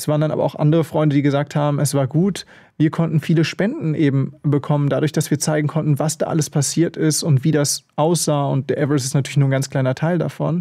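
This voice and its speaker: A man's somewhat breathy, dark, mellow voice at a fairly high pitch, very fast and with hardly any pauses, in monotone, flat intonation over a quiet background. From Germany, Bielefeld (northern Germany); Germany. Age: 20s. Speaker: extreme mountaineer; interview guest. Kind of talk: radio interview. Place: studio. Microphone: studio mic.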